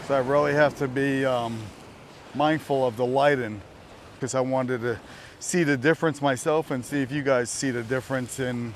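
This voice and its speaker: A man in a New Jersey accent, with medium pitch, fairly even intonation, and a moderate pace. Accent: New Jersey American. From US, New Jersey. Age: 60s. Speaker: vlogger. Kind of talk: casual vlog talk to camera. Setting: outdoors, walking. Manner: loud.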